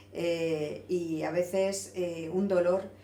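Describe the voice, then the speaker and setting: Background noise is noticeable. Room echo can also be heard. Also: woman. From Valencian Community, Spain. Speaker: interviewer, teacher. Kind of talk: interview.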